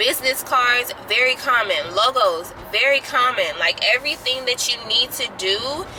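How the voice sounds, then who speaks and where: A woman's raised, projected voice at a high pitch, with very even loudness, hardly any pauses, a moderate pace and noticeable background noise. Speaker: small skincare business owner, vlogger. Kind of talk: casual vlog update. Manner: hesitant, filler-heavy.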